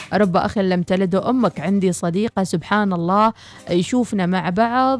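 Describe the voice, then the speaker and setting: With music in the background, a woman talks at a moderate pace and medium pitch, with ordinary pitch variation. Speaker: radio host. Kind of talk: reading listener messages; news reading.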